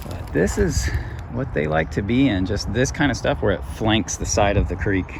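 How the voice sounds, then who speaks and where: Amid audible room echo, a man with a very deep, low voice talks at a moderate pace with very wide pitch swings. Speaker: wildlife YouTuber, turtle enthusiast. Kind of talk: outdoor field vlog narration. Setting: outdoors by a creek. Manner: quiet, hushed; casual, hesitant with fillers.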